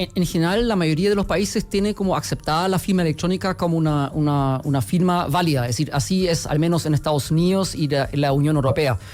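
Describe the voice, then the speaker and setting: A man with a slight German accent and a fairly high pitch talks at a very fast pace with hardly any pauses, very even loudness and ordinary pitch variation. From Germany. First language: German (speaking Spanish). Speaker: company executive. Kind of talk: radio interview. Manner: hesitant, with many fillers.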